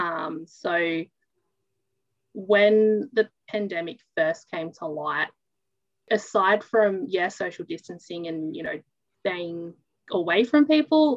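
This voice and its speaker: A woman with an Australian accent, a very slow pace, long, frequent pauses and big swings in loudness, all in a dry, close sound with no echo. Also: medium pitch for a woman, lively intonation. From New South Wales, Australia. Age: 20s. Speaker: interviewee. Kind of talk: interview. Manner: halting.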